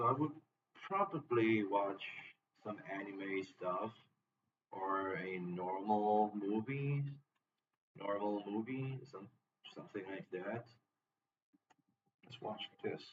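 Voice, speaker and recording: With a non-native accent, a man speaks at a very slow pace in a fairly low pitch, his loudness swinging widely, his pitch varying in an ordinary way, and long pauses coming often. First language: not English. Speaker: streamer reacting to videos. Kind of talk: live stream reaction commentary.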